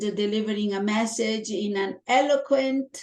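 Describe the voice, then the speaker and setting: A woman with a strong Italian accent at a very slow pace. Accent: heavy Italian. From Italy. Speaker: toastmasters club member. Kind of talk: interview.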